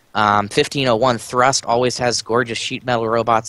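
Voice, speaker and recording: With a bright, sharp tone and a medium pitch, a man talks at a fairly quick pace. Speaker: robotics show co-host. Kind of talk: casual panel discussion. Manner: fast.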